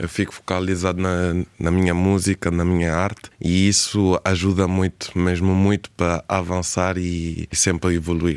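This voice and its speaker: A man with a very deep, low pitch speaks at a fairly slow pace in a monotone, flat intonation, with hardly any pauses. The recording is very clean, with a silent background and a dry, close sound free of echo. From Spain, Cape Verdean family. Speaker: singer and songwriter. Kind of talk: radio interview.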